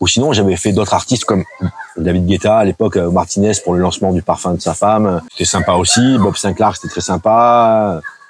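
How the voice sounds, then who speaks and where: Over noticeable background noise, a man speaks fairly quickly with a fairly low pitch and fairly even intonation. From southern France, Antibes/Juan-les-Pins. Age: 50s. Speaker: DJ and bar owner. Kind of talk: casual interview.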